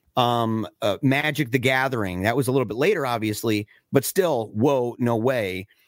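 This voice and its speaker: Speaking in a normal speaking voice, a man of medium pitch keeps a moderate pace and ordinary pitch variation. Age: 40s. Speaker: film podcast co-host. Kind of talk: casual chat.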